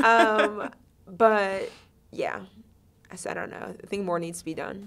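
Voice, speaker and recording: Music plays in the background as a woman's voice shows big swings in loudness. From US Midwest, Ohio (Shaker Heights). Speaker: music festival co-founder. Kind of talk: podcast interview. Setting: studio. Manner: fast.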